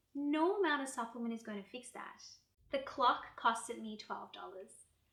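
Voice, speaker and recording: Speaking at a moderate pace, a woman uses an ordinary speaking voice with ordinary pitch variation. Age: 40s. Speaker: yoga and wellness creator. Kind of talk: personal vlog talk to camera. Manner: calm, reflective.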